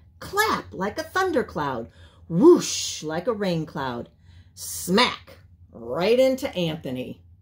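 Someone reads aloud, and the voice sounds natural.

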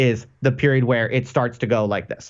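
This man talks at a fairly quick pace in a medium pitch. The background stays quiet. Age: 30s. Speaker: academic; podcast guest. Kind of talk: casual chat. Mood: calm, reflective. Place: home room. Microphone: video call.

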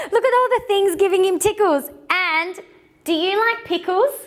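A woman speaks at an extremely high pitch. Her pitch moves in an ordinary way.

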